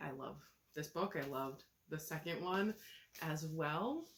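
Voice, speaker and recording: This voice has vocal fry and moves at a fairly slow pace. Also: woman. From Oregon, US Pacific Northwest. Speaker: book reviewer. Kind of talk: casual review vlog. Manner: casual, uses many fillers.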